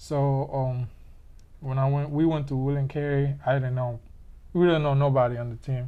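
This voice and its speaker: A man with a Panamanian accent speaks at a moderate pace and medium pitch, his dark, mellow tone delivered in a monotone, flat way. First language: Spanish. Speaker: interviewee. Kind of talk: casual interview.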